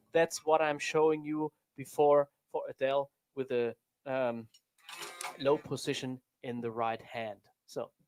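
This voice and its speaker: In a fairly high pitch, a man with a non-native accent talks at a fairly slow pace with fairly even intonation and long, frequent pauses, in a dry, close sound with no echo. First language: not English. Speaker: drummer and drum teacher. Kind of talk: tutorial. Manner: halting.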